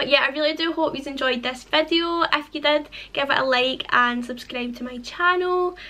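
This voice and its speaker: A woman speaks in a raised, projected voice with a bright, sharp tone. Her pitch is high and her intonation lively. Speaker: fitness vlogger. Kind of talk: casual vlog outro. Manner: halting, with stutters and pauses.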